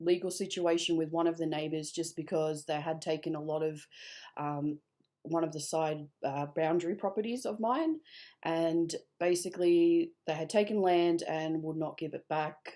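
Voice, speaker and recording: A woman with an Australian accent speaks slowly-ish at a fairly low pitch, her tone dark and mellow and her intonation fairly even, in a very clean recording with a silent background. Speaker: vlogger telling personal story. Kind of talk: personal testimony. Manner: halting, many fillers.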